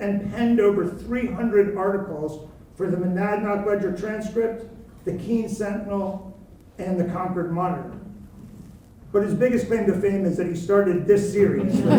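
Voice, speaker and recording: A man with a high pitch speaks at a moderate pace and with fairly even intonation, and room echo is audible. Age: 60s. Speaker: event moderator. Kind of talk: event introduction.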